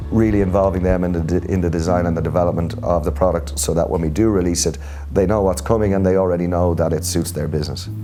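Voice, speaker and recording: Over music in the background, a speaker with a Dublin accent talks at a very fast pace with fairly even intonation and very even loudness. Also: man, very deep, low pitch for a man. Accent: Irish (Dublin). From Dublin, Ireland. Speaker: tech company strategy executive. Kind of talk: interview answer.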